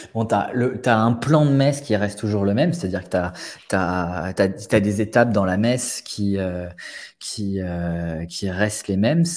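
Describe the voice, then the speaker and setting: A man with a fairly low voice speaks at a fairly slow pace, his pitch varying in an ordinary way. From France. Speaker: business automation consultant and investor; interview guest. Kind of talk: casual interview. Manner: halting, many fillers and repetitions. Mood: relaxed, casual. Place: home room. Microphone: earbuds.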